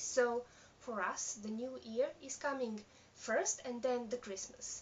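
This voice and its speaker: A woman with a non-native accent speaks at a very slow pace and fairly high pitch with ordinary pitch variation over noticeable background noise. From Serbia. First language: Serbian. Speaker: knitting podcaster. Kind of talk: casual video podcast. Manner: halting, many fillers.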